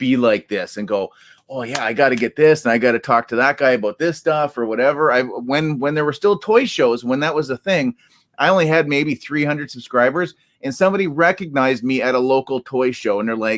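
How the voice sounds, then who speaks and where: A man with a Canadian accent speaks fairly quickly at medium pitch with ordinary pitch variation, in a dry, close sound with no echo. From Canada. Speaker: toy collector YouTuber. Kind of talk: casual chat. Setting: live stream. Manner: halting, many ums and ahs.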